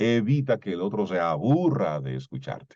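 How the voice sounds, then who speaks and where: A man's dark, mellow voice with very wide pitch swings. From Dominican Republic, Cibao (Salcedo). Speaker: voice and communication coach. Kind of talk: lecture.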